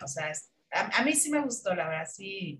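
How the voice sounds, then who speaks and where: A woman with a Mexican accent speaks with very wide pitch swings. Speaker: film critic panelist. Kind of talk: casual chat.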